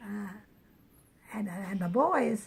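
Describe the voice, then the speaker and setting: A woman talks at a medium pitch and a fairly slow pace. Her voice is somewhat breathy. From New Brunswick, Canada. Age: 90s. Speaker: elderly woman sharing memories. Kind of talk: oral history interview. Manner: halting, many repetitions and restarts.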